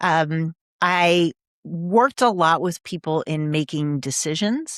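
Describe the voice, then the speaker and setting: A woman with an American accent speaks at a very deep, low pitch in a dry, close sound with no echo, in a very clean recording with a silent background. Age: 60s. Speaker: executive coach and author. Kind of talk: interview conversation.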